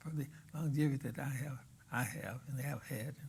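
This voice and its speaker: The man's voice is somewhat breathy, fairly high in pitch, and fairly even in intonation. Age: 80s+. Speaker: religious leader. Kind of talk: interview. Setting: studio.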